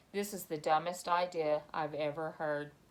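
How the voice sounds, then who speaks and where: In a put-on character voice at middle pitch, the speaker hisses while talking at a moderate pace. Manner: hissing, irritated.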